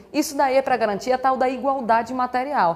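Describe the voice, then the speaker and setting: A woman's fairly high, animated voice at a fairly quick pace, over noticeable background noise. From Brazil, Recife, Pernambuco. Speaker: law teacher. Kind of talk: lecture.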